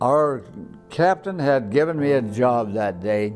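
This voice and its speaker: Someone with an American accent speaks at a fairly slow pace over music in the background. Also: man. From Colorado, USA. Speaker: World War II veteran. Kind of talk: interview answer.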